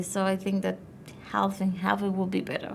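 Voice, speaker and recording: A woman is speaking. She has a non-native accent. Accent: noticeable non-native accent, syllable-timed. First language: not English. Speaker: IELTS test taker. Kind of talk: speaking exam interview answer. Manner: fairly fluent with some hesitation.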